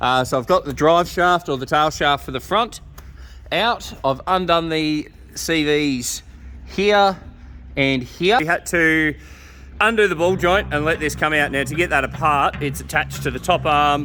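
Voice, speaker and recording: With an Australian accent, a man speaks at a moderate pace in a bright, sharp tone, his fairly high pitch showing ordinary pitch variation. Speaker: mechanic. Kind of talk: workshop tutorial. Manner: loud, yelling.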